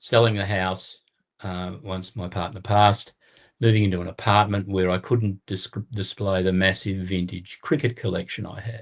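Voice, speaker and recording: Against a quiet background, a man with an Australian accent speaks at a moderate pace in a fairly low voice with fairly even intonation. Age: 70s. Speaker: card collector. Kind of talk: casual chat.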